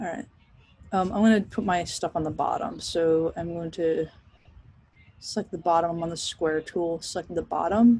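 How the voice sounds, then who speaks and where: A woman's medium-pitched, somewhat breathy voice carries ordinary pitch variation as she talks. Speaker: professor teaching design software. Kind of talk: recorded class tutorial. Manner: casual, chatty.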